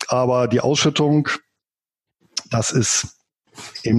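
His intonation is fairly even and his pitch medium. This man talks very slowly. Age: 40s. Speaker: finance blogger and author. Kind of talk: interview.

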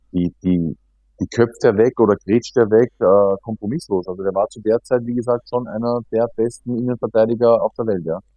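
A man of medium pitch speaks at a moderate pace with fairly even intonation over music in the background. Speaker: professional footballer. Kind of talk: casual interview.

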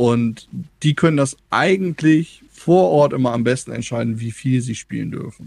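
A man with a plain, everyday voice talks at a moderate pace, his medium pitch showing ordinary variation. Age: 30s. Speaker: game developer and media education worker. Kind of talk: casual interview.

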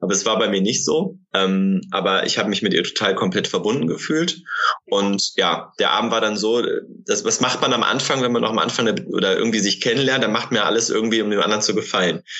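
Medium-pitched male voice with lively intonation and very even loudness, at a fairly quick pace, over noticeable background noise. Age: 30s. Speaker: online marketing entrepreneur. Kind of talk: casual interview.

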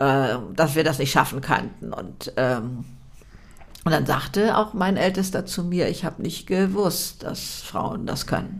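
A woman's fairly low voice with vocal fry and lively intonation at a very slow pace, with audible room echo. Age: 70s. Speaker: author and podcaster. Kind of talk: interview.

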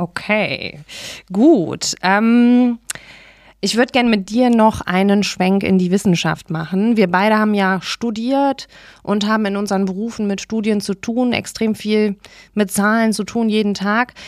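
A woman's plain, everyday voice, medium in pitch, fairly slow, with fairly even intonation. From Remscheid, Germany. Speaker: podcast host. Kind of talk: interview.

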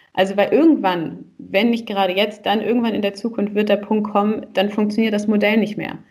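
Somewhat breathy, the voice moves at a fairly quick pace with fairly even intonation and hardly any pauses. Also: woman, medium pitch for a woman. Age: 30s. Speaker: relationship coach and salsa teacher. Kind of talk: podcast interview.

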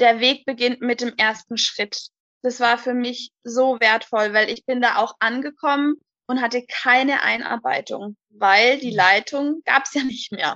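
A woman's high-pitched voice in a bright, sharp tone, very slow and fairly even in intonation, with a dry, close sound and no echo. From Hochrhein, southern Baden-Württemberg near the Swiss border. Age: 20s. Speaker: daycare centre manager. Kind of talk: interview.

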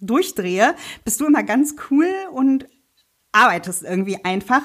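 A woman with an ordinary speaking voice talks at a fairly slow pace with lively intonation. The recording is very clean, with a silent background. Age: 30s. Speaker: sewing blogger and podcast co-host. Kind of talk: casual chat.

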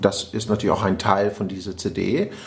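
A man's speech proceeds at a moderate pace while noticeable background noise fills the recording. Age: 40s. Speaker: podcast host and personal development coach. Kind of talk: casual interview conversation.

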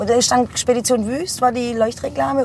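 Over noticeable background noise, a woman with a high voice talks at a fairly slow pace. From Heilbronn, Germany. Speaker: bar owner. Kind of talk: casual interview. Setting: in a car.

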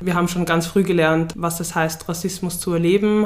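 Over noticeable background noise, a woman with a fairly low pitch talks at a very fast pace. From Vienna, Austria. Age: 20s. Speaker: student activist. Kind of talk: interview.

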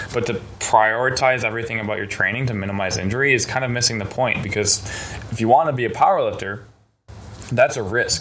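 Background noise is noticeable and audible room echo surrounds a man's voice. He speaks at a very fast pace and a medium pitch with ordinary pitch variation. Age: 20s. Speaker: powerlifting coach. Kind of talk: casual interview.

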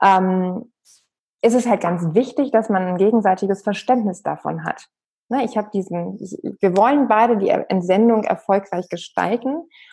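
A woman talks at a medium pitch with a dark, mellow tone. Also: ordinary pitch variation, moderate pace. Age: 40s. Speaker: professor of human resources, expat partner. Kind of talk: interview, explanatory. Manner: many filler sounds (ähm).

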